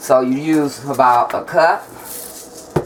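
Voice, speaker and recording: Noticeable background noise sits behind a woman. Her pitch is very deep and low, with ordinary variation. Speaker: home cooking video maker. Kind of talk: cooking tutorial. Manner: casual, chatty.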